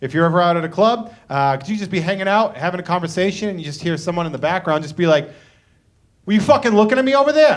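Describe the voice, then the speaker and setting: A loud man with a Boston accent, high-pitched, very fast and full of lively intonation. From Boston, Massachusetts. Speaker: comedian and show host. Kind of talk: stand-up. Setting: living room concert with audience.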